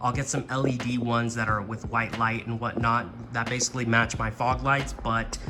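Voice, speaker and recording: A man talks at a medium pitch while music plays behind him. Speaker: car enthusiast. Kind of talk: casual car install tutorial to camera. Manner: monotone.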